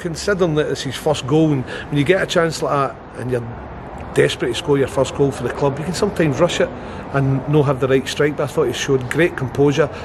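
Noticeable background noise surrounds a man's voice. He speaks at a fairly quick pace with fairly even intonation. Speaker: football head coach. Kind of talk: interview answer. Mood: pleased after a win. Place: stadium. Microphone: lapel.

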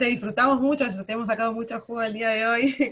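A woman with a plain, everyday voice speaks at a moderate pace in a fairly high pitch with fairly even intonation. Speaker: workshop moderator. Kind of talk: Q&A moderation.

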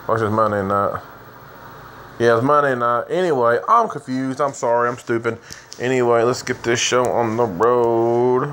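A man talks at a middling pace with a little noise in the background. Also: fairly even intonation. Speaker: gameplay narrator. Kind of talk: casual gaming commentary. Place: home room.

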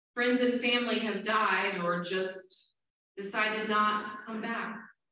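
Strong room echo surrounds a woman speaking with monotone, flat intonation. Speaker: Presbyterian minister. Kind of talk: sermon. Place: church.

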